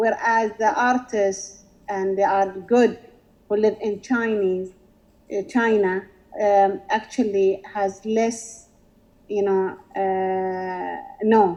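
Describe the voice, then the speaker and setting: The voice moves at a very slow pace with long, frequent pauses, a dark, mellow tone and fairly even intonation. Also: woman, medium pitch for a woman. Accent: Emirati. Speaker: visual artist asking a question. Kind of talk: Q&A in online session. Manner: halting.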